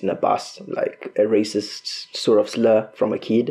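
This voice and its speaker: A man speaks at a fairly slow pace in a medium pitch, his tone dark and mellow and his intonation flat and monotone. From Zimbabwe, Bulawayo. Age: 20s. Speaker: student. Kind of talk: interview.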